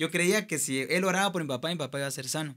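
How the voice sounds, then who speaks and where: Against a quiet background, a man with a Guatemalan accent speaks with ordinary pitch variation. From Guatemala (Escuintla). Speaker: singer and music producer; podcast guest. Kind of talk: testimony. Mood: earnest, reflective. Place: studio. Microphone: studio mic.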